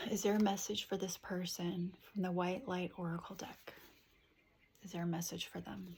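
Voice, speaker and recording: Soft-spoken and somewhat breathy, a woman talks at a moderate pace in a medium pitch with monotone, flat intonation and long, frequent pauses. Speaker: tarot reader. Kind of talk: tarot reading.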